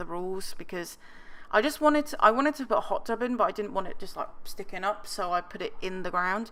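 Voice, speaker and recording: A bright, sharp tone with lively intonation races along at a very fast pace. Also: woman. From England. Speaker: gaming youtuber. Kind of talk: casual commentary over speed build. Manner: rambling, filler-heavy.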